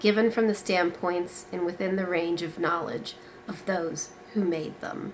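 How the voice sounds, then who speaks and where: A woman's fairly low voice against noticeable background noise. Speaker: book reviewer. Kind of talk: reading aloud from a novel.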